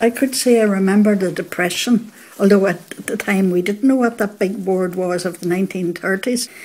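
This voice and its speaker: A woman with a Northern Irish accent at medium pitch, moderate pace and fairly even intonation, with hardly any pauses and noticeable background noise. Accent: Northern Irish (Fermanagh). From Northern Ireland, County Fermanagh (Belcoo area). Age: 80s+. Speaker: local resident recalling childhood. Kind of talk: oral history interview.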